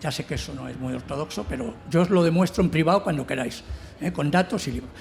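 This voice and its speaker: A man talks at a very fast pace. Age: 60s. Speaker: novelist on a literary panel. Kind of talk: round table discussion.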